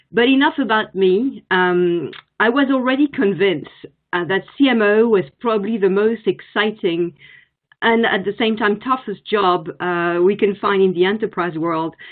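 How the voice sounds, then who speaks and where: A woman's medium-pitched voice with a French accent, ordinary pitch variation, and a moderate pace. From France. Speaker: marketing executive. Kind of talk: conference presentation. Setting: virtual forum.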